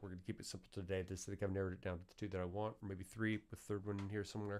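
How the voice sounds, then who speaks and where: This man's voice sits at a fairly low pitch. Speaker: musician and livestream host. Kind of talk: live tutorial stream. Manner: casual, halting with fillers.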